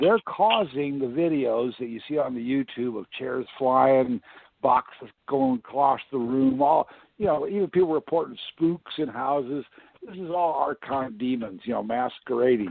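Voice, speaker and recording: A man's voice with a US Midwestern accent, big swings in loudness and a moderate pace. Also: medium pitch for a man, ordinary pitch variation. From Iowa, US Midwest. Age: 60s. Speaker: independent presidential candidate. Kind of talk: interview.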